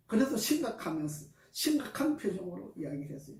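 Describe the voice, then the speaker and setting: A man talks with lively intonation while an audible echo fills the room. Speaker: massage therapist. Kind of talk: testimony. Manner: not soft-spoken.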